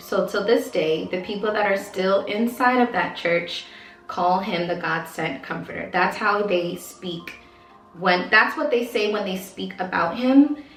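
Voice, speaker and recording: There is audible room echo and noticeable background noise. A woman speaks at a medium pitch with ordinary pitch variation. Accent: American. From Baltimore, Maryland, US. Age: 30s. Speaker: former cult member, vlogger. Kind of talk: personal testimony. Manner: casual, hesitant with fillers.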